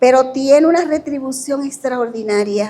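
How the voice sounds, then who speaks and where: A woman's dark, mellow tone at a fairly slow pace. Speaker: university professor. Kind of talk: lecture. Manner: informal, conversational.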